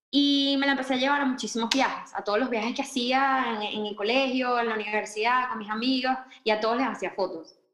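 Over music in the background, a woman speaks at a fairly quick pace in a high pitch. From Venezuela, Caracas. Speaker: wedding photographer. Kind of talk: interview. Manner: animated.

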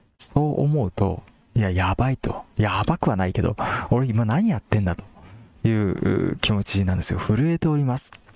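Over noticeable background noise, a man speaks at a moderate pace with fairly low pitch. His intonation is lively and his loudness very even. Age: 30s. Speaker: podcast host selling teacher products. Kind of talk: casual solo talk.

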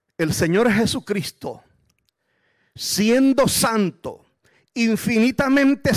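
The speech goes at a very slow pace. Pitch varies in an ordinary way. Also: man. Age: 60s. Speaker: guest preacher. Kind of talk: sermon. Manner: animated.

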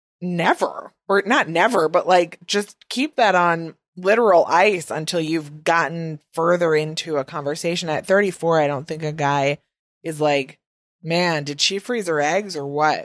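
With a Midwestern US accent, a woman speaks at a fairly slow pace and a fairly low pitch with ordinary pitch variation, in a dry, close sound with no echo. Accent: Midwest American, long vowels. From US Midwest. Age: 20s. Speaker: podcast host. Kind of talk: casual chat, interview. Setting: home recording, dog and partner nearby.

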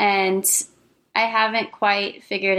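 This woman has a plain, everyday voice at medium pitch, with an American accent. Her intonation is fairly even and her pace fairly slow. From small-town Illinois. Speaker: veterinarian and small business founder. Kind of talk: casual interview chat.

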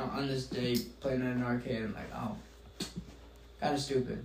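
A man's voice comes through with audible room echo. Noticeable background noise is present too. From Filipino heritage. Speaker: podcast co-host. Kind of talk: casual chat.

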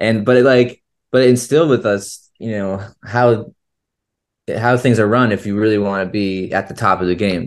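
Here is a man with an American accent and an unremarkable speaking voice, talking at a moderate pace over a quiet background. His pitch is fairly low and his intonation fairly even. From Florida, US. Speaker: touring band musician. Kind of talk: casual interview.

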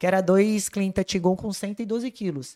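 Recorded very cleanly with a silent background, a woman speaks in a dark, mellow tone with fairly even intonation. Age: 40s. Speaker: CrossFit athlete and marketing manager. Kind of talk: casual chat.

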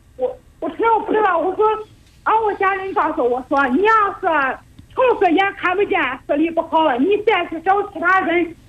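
A woman's extremely high-pitched voice at a moderate pace, with ordinary pitch variation. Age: young. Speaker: caller. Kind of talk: advice call-in. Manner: halting.

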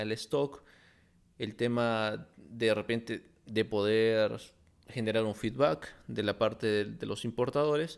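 A man talks in an unremarkable speaking voice with ordinary pitch variation, on a very clean recording with a silent background. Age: 30s. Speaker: industrial engineer and import business content creator. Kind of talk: solo podcast monologue.

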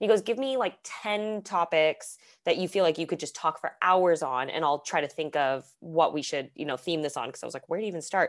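With a Californian accent, a woman talks at a fairly quick pace with hardly any pauses over a quiet background. Her animated voice is fairly low in pitch, with lively intonation. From Southern California. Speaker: podcast host, guest co-host. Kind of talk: casual chat.

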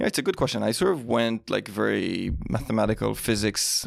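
A man with an Israeli accent at a fairly quick pace. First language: Hebrew. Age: 40s. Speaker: tech startup CEO. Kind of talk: casual interview.

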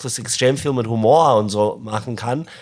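Medium pitch from a man, with ordinary pitch variation. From Zimbabwe (Harare). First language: English (speaking German). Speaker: podcast co-host, fishing company founder. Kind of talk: casual chat. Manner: halting, non-native German.

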